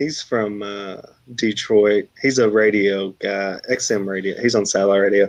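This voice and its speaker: A man with an American accent speaks at a moderate pace, with fairly low pitch and fairly even intonation. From US South, Texarkana. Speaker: food challenge YouTuber. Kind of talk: casual livestream chat.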